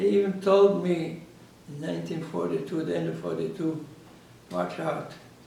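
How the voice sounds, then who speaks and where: Moderate pace with long, frequent pauses, audible room echo and noticeable background noise. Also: man. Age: 80s+. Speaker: Holocaust survivor. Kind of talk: testimony. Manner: halting.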